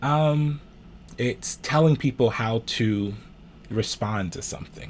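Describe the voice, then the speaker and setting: A man with a somewhat breathy voice speaks in lively intonation on a very clean recording with a silent background. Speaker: minister and social justice commentator. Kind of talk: Patreon discussion talking to camera about civil rights.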